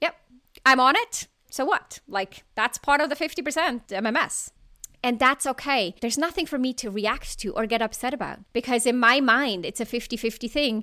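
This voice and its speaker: In a non-native accent, a woman with a high pitch and a bright, sharp tone speaks in a raised, projected voice at a moderate pace with ordinary pitch variation, on a very clean recording with a silent background. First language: not English. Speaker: leadership coach and podcast host. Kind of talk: solo podcast monologue.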